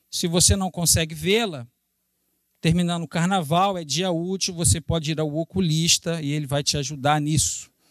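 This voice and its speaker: The speaker has a Carioca accent and an animated tone at a moderate pace. The recording is very clean, with a silent background. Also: man, high pitch for a man. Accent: carioca Brazilian Portuguese. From Brazil, Rio de Janeiro. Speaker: missionary preacher. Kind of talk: sermon.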